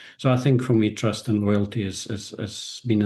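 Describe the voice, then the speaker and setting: A man's dark, mellow voice at a moderate pace against a quiet background. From South Africa. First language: Afrikaans. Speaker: business executive and author. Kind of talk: podcast interview. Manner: halting.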